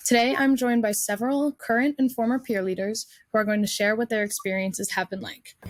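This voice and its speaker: A woman with an American accent, fairly high in pitch, with ordinary pitch variation and a very fast pace. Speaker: panel moderator, college student. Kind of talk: panel moderation.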